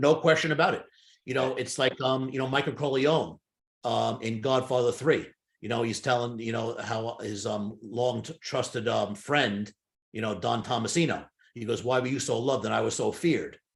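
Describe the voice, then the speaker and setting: A voice with vocal fry, speaking at a moderate pace. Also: man, medium pitch for a man, ordinary pitch variation. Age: 60s. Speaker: hypnotist and sales trainer. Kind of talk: interview conversation. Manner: halting.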